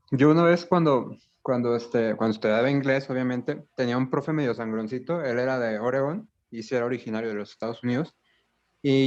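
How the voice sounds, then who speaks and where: Against a quiet background, a man with a Mexican accent speaks at a fairly quick pace with ordinary pitch variation. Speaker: language teacher, student in a class. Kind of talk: class discussion.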